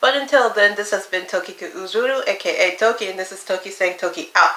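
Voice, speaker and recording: At a very fast pace, a woman speaks at a medium pitch with ordinary pitch variation and big swings in loudness over noticeable background noise. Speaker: YouTuber. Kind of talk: casual vlog monologue.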